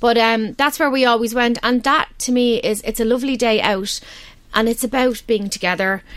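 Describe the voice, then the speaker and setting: A woman with a Dublin accent speaks in a fairly high voice with fairly even intonation. Her loudness stays very even. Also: moderate pace. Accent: Dublin Irish. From Ireland, Balbriggan, north County Dublin. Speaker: parenting website representative. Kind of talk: radio interview. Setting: radio studio.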